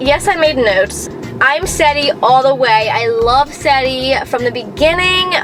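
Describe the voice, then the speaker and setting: Music in the background behind a woman's high voice, very wide pitch swings and a moderate pace. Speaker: youtuber. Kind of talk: casual chat. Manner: loud at times, also very soft; not very enthusiastic, calm.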